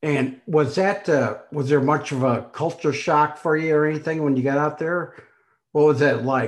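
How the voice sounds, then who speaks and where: A normal speaking voice keeps fairly even intonation and moves at a moderate pace. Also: man, fairly high pitch for a man. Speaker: podcast host. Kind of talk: casual interview chat.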